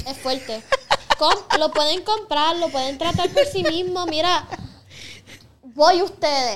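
Extremely high-pitched, a woman speaks at a very slow pace with long, frequent pauses over noticeable background noise. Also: ordinary pitch variation. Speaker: singer and makeup artist. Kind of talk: casual chat.

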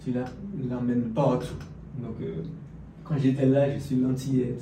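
A man at medium pitch, very slow and fairly even in intonation, with audible room echo and noticeable background noise. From French Antilles. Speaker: fitness and business coach. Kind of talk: casual interview.

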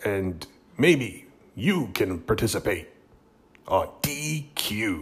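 A man speaks very slowly in a fairly low, somewhat breathy voice, leaving long and frequent pauses. His pitch swings very widely. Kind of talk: radio dj patter: mock game-show intro rattling off catchphrases, then chatty sign-off.

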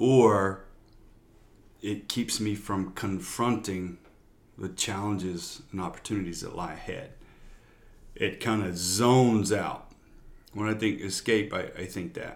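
A man's fairly slow, fairly even speech with long, frequent pauses and audible room echo. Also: fairly low pitch for a man. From Louisiana. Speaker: pastor. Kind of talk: casual interview.

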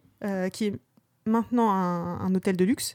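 The woman's voice is recorded dry and close, with no echo. The recording is very clean, with a silent background. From Normandy, France (Rouen). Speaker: podcast co-host, librarian and parent. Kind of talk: casual chat.

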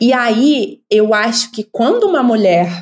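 With lively intonation, a woman speaks at a fairly slow pace in an ordinary speaking voice. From Brazil, Rio de Janeiro suburbs. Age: 40s. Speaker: anthropologist. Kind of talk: casual interview chat.

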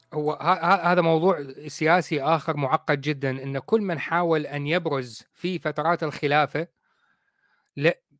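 The recording is very clean, with a silent background and a dry, close sound with no echo. A man speaks at a fairly high pitch and a fairly slow pace. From Iraq. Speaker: podcast host. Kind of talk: casual chat. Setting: live video stream. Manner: animated.

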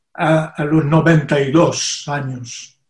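A man's voice at a fairly high pitch. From Brazil. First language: Portuguese (speaking Spanish). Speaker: poet and politician. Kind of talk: interview. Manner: halting.

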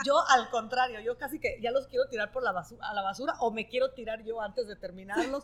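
Ordinary pitch variation runs through talking delivered at a very fast clip. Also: woman, high pitch for a woman. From northern Italy. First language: Italian (speaking Spanish). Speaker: novelist. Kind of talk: interview. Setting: live event with audience.

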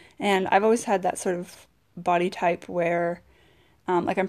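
A woman talks at a moderate pace with a medium pitch, ordinary pitch variation and vocal fry. The recording is very clean with a silent background. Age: 20s. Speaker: podcaster and fitness coach. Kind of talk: solo monologue podcast. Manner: casual, with frequent fillers.

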